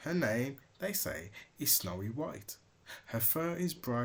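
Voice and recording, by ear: With lively intonation, the text is delivered by reading aloud in a natural voice.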